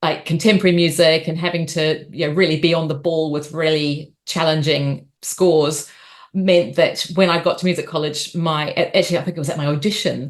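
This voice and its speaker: Speaking fairly quickly in a New Zealand accent, a woman keeps a fairly low pitch and a monotone, flat intonation. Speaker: opera singer and arts company leader. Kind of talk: interview talk. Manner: hesitant fillers.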